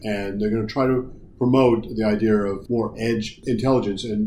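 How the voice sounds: A man talks at a moderate pace with a fairly low pitch and a dark, mellow tone. His intonation stays fairly even, with audible room echo.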